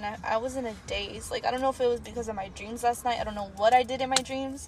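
A woman's high-pitched voice comes through over noticeable background noise. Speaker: podcast host. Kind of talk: casual chat.

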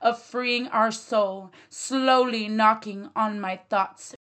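A woman talks at a very slow pace, her intonation fairly even. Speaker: poet. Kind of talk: poetry reading.

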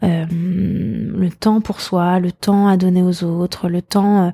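Dry and close with no echo, a woman's medium-pitched voice carries a dark, mellow tone and fairly even intonation. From Paris, France. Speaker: painter and entrepreneur. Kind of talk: interview conversation. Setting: art gallery. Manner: halting with frequent fillers.

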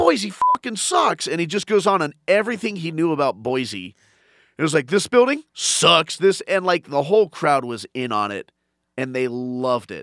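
An energetic man with a high pitch and very wide pitch swings talks at a moderate pace in a dry, close sound with no echo, on a very clean recording with a silent background. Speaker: stand-up comedian. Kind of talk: casual chat. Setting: studio.

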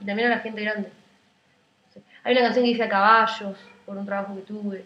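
A woman speaks with a Rioplatense accent at a medium pitch. Her intonation is monotone and flat. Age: 20s. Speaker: singer-songwriter. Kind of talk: casual interview.

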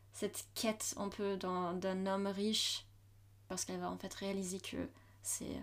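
In a German accent, a woman speaks at a fairly slow pace. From Germany, Hamburg. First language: German (speaking French). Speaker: university student. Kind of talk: casual chat.

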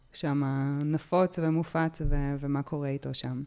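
A woman's very deep, low voice, dark and mellow in tone, at a fairly slow pace in a very clean recording with a silent background. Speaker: podcast host. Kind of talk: interview.

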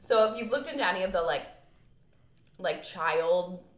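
Against noticeable background noise, a woman talks fairly quickly with ordinary pitch variation. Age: 20s. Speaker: podcast co-host. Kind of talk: casual chat.

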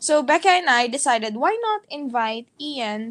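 This woman speaks in a high voice. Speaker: podcast co-host. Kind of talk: casual chat. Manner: animated, laughs often.

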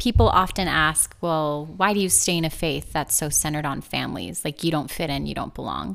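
Speaking at a fairly quick pace with hardly any pauses, a woman with a very deep, low pitch and vocal fry uses lively intonation on a very clean recording with a silent background. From Southern California, US (Los Angeles area). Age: 30s. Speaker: podcast host. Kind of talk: casual chat.

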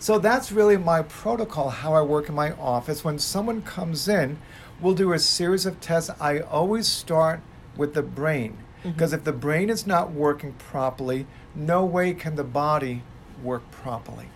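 A man talks at a moderate pace in a plain, everyday voice. His pitch sits fairly high, with ordinary variation. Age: 60s. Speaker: chiropractor. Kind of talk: casual chat.

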